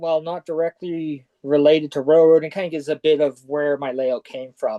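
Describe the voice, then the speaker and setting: A man with a Canadian accent, a fairly high pitch and a dark, mellow tone, in a dry, close sound with no echo. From western Canada. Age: 40s. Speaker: railroader and model railway hobbyist. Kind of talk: presentation. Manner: halting.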